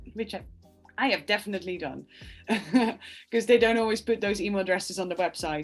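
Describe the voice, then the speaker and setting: Speaking at a very fast pace, a woman talks with a Dutch accent. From Netherlands, small village. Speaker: opera director. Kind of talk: video call interview.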